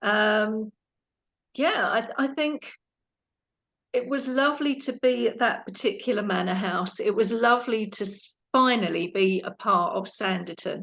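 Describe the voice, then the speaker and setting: With a British accent, a woman speaks at a fairly slow pace. Her pitch is fairly high, with ordinary variation. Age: 60s. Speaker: actress and former police officer. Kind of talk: interview.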